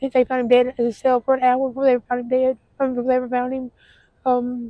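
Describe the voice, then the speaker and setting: A woman with a Southern US accent, high pitch, a dark, mellow tone and monotone, flat intonation at a very fast pace, in a dry, close sound with no echo. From Tennessee. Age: 40s. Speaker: homeless woman interviewed. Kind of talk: street interview testimony. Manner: halting, many fillers.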